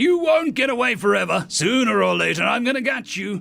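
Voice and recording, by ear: Shouting in a put-on character voice, a man speaks at a fairly quick pace and high pitch with lively intonation, a bright, sharp tone and vocal fry.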